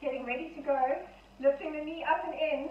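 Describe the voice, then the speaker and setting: There is light background noise and audible room echo. A woman speaks at a moderate pace with fairly even intonation. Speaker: fitness instructor. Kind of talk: exercise class instruction. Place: home room. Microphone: camera far.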